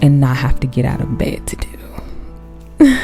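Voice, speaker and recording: Soft-spoken and relaxed, a woman with an American accent talks over music in the background. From Chicago. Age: 20s. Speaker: artist and content creator. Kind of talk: sleep-aid ASMR talk while drawing. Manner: soft-spoken, relaxed, slow.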